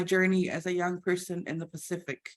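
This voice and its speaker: A woman with a Samoan accent, medium pitch and moderate pace. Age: 30s. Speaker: IT team leader and church youth leader. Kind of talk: presentation. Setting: video call. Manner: halting.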